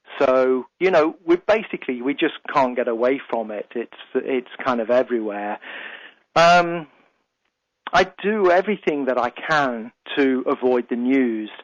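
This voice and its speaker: A man with a British accent at medium pitch, lively intonation and a fairly slow pace, in a dry, close sound with no echo over a quiet background. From UK. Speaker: radio host and life coach. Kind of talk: radio talk show monologue. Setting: radio studio.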